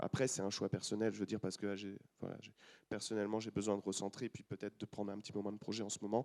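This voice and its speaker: A man's very fast, monotone delivery with flat intonation, in a dry, close sound with no echo. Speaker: film composer and conductor. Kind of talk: panel discussion.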